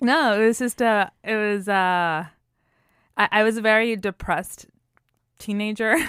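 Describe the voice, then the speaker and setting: Speaking at a fairly slow pace with long, frequent pauses, a woman with an American accent shows ordinary pitch variation, the dry, close sound free of echo on a very clean recording with a silent background. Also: fairly high pitch for a woman. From Puerto Rico. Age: 30s. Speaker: storytelling show founder. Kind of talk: interview conversation. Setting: podcast interview. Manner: halting.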